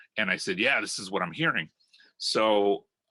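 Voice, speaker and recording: A man with a Spanish accent speaks in a very deep, low voice with a bright, sharp tone. The sound is dry and close with no echo, on a very clean recording with a silent background. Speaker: rock guitarist. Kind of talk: interview. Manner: hesitant, many fillers.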